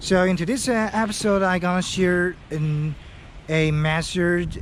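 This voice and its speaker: A high-pitched man with a Chinese accent at a fairly slow pace, his loudness very even. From China (Henan Province). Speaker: English learning vlogger. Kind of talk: tutorial. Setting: outdoors. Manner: halting.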